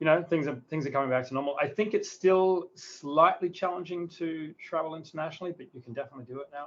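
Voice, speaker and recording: Talking at a very fast pace with hardly any pauses, a man with an Australian accent has a fairly high pitch, ordinary pitch variation and big swings in loudness. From South Australia, near Adelaide. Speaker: tech company founder. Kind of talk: interview.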